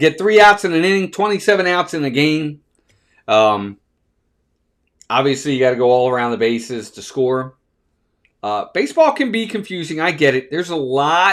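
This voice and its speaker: An ordinary speaking voice with an American accent moves at a moderate pace with lively intonation. The recording is very clean and the background silent. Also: man. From Baltimore, Maryland. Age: 50s. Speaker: baseball live-stream host. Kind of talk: live play-by-play commentary and chat. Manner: casual, conversational.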